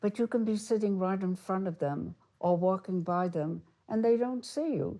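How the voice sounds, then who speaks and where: A woman's medium-pitched voice with a New York accent, dark and mellow in tone, fairly slow, in a very clean recording with a silent background. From US Northeast, Brooklyn New York. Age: 90s. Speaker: retired teacher. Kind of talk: interview.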